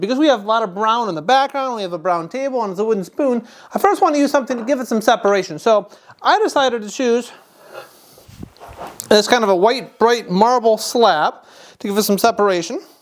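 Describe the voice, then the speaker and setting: Speech in a Wisconsin accent runs at a very fast pace with lively intonation. Noticeable background noise is present. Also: woman. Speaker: photography teacher. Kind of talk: tutorial. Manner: casual, joking.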